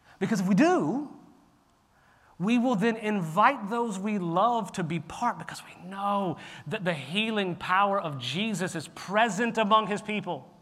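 A loud, animated man with a high pitch, ordinary pitch variation and a fairly slow pace. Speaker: pastor. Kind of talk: sermon. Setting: church.

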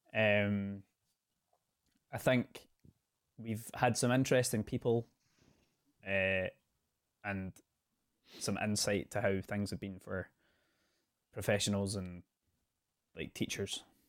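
In a dry, close sound with no echo, a man with a fairly low pitch speaks at a very slow pace, with long, frequent pauses and fairly even intonation. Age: 20s. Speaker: student podcast host. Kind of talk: casual chat.

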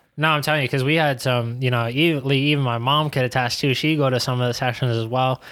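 Very fast and at medium pitch, a man with an American accent speaks in a flat monotone with very even loudness. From New York City (Queens). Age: 20s. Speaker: professional soccer player. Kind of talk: casual chat.

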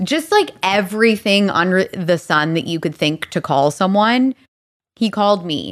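Her intonation lively, a woman speaks in a slight Albertan accent. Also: medium pitch for a woman, moderate pace. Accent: slight Alberta Canadian. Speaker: leadership coach. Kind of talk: casual chat.

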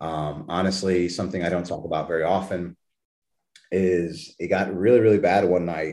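With an American accent, a man speaks at a moderate pace in a very deep, low voice, his tone dark and mellow and his intonation fairly even. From Texas, New Braunfels. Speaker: fitness coach and weight-loss story guest. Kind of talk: casual interview.

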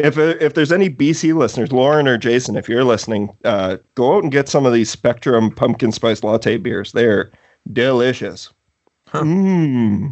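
A man with a Canadian accent talks at a moderate pace and medium pitch, with lively intonation and an ordinary speaking voice. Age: 30s. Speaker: horror movie podcast host. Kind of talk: casual chat.

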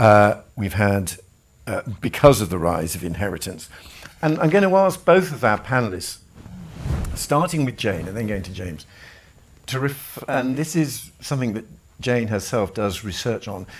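A man with a British accent speaks at medium pitch and a moderate pace. His pitch swings very widely and his loudness rises and falls sharply. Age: 60s. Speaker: event chair. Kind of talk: panel discussion. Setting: live event.

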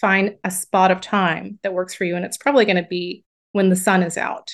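A woman's unremarkable speaking voice, medium in pitch, with an American accent, at a moderate pace against a quiet background. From US South. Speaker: book coach. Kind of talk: interview.

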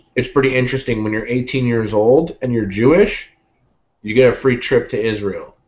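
An ordinary speaking voice from a man, pitched in the mid-range, moderately paced, its intonation fairly level. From Canada. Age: 20s. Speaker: YouTube cooking show host. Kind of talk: casual chat.

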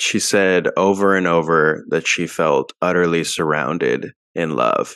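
Very deep and low in pitch, a man speaks with fairly even intonation. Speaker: podcast co-host. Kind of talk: podcast discussion.

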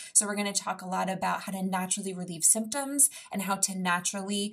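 A woman speaks in a normal speaking voice. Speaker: podcast host and fitness trainer. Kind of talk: casual interview conversation.

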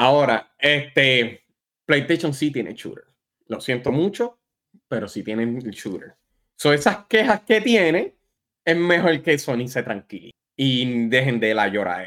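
A man talks at a fairly slow pace with fairly high pitch. His pitch swings very widely. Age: 40s. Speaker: gaming podcast guest. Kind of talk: casual chat.

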